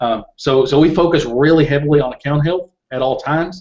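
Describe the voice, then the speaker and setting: Speaking with a Southern US accent, a man keeps a moderate pace. His pitch is fairly high and his intonation fairly even. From Kentucky. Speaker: Amazon seller. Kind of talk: interview. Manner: halting, many repeated words.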